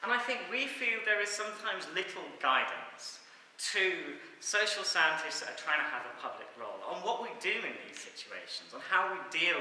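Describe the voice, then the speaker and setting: A man speaks with audible room echo. Noticeable background noise is present. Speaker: social science academic. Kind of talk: academic talk. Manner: fast.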